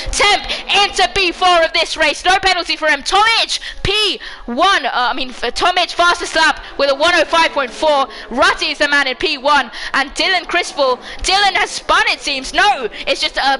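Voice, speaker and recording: Shouting in an extremely high, raised and projected voice, a woman is heard over noticeable background noise. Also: lively intonation, moderate pace. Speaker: sim racing league commentator. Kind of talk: live commentary. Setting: home livestream. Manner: loud, shouting.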